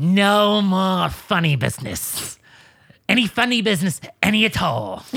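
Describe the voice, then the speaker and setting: This is a put-on character voice, raspy and with lively intonation. It moves at a moderate pace. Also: man, high pitch for a man. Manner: threatening.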